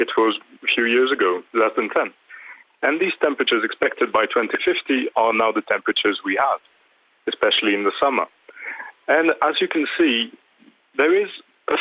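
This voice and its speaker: At a moderate pace, a man talks with a French accent. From France. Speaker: climate policy commentator. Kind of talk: TV news interview.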